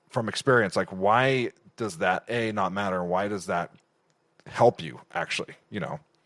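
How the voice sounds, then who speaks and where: In an ordinary speaking voice, a man talks at a moderate pace with a fairly low pitch and ordinary pitch variation, recorded dry and close with no echo in a very clean recording with a silent background. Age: 30s. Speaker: podcast host and UGC coach. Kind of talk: podcast interview.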